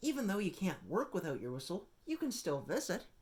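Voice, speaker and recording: This put-on character voice sits at a middle pitch and moves at a fairly quick pace. Its pitch swings very widely. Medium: read story.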